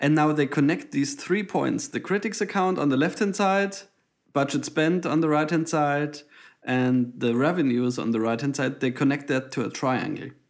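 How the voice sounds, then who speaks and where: Over a very clean recording with a silent background, a man with a German accent talks at a fairly high pitch and a moderate pace. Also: ordinary pitch variation, very even loudness. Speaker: podcast co-host, data visualization designer. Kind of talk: casual chat.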